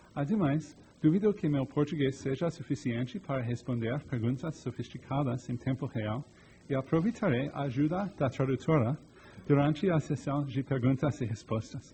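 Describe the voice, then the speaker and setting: Somewhat breathy, a man with a fairly high pitch and a dark, mellow tone talks at a moderate pace with ordinary pitch variation. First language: English (speaking Portuguese). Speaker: digital rights technologist. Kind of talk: lecture. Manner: halting.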